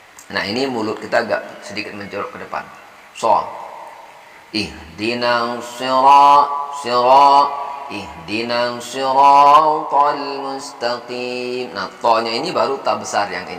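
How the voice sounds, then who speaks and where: A man's medium-pitched voice at a very slow pace, with big swings in loudness, ordinary pitch variation and noticeable background noise. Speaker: Quran reading teacher. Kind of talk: tutorial explanation of pronunciation. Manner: relaxed, practical.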